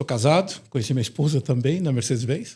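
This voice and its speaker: A somewhat breathy male voice with a dark, mellow tone and ordinary pitch variation. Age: 60s. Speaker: retired company president. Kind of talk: interview.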